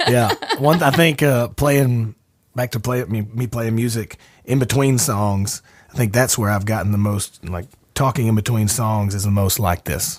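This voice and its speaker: In a very clean recording with a silent background, a man speaks with an Alabama accent. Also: medium pitch for a man, ordinary pitch variation, moderate pace. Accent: Alabama Southern US. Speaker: podcast host and singer-songwriter. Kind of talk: casual chat. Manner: tends to mumble.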